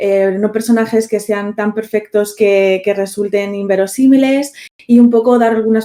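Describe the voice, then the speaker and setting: A woman with a fairly high pitch and a dark, mellow tone speaks at a moderate pace with fairly even intonation. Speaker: writer giving a talk on character creation. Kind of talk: online presentation to an audience. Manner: hesitant, many fillers.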